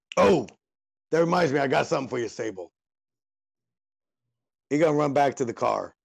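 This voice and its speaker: Putting on a raspy character voice, a man talks at a fairly high pitch and a fairly quick pace. Long, frequent pauses break up his lines. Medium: actual play. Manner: blunt, streetwise.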